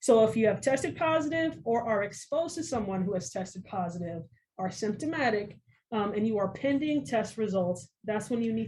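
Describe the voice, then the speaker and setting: Her pitch is fairly high, with very wide swings. The woman sounds somewhat breathy. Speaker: school medical technician. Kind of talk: informational interview. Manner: frequent filler ums.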